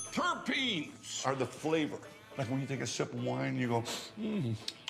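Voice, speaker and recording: Music plays in the background as a man with a fairly high voice speaks at a moderate pace. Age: 60s. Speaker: actor and cannabis farmer. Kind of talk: interview answer. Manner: casual, anecdotal.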